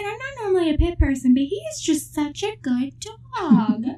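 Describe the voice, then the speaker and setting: A put-on character voice, female-sounding and pitched high. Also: moderate pace. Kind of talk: chatty, casual.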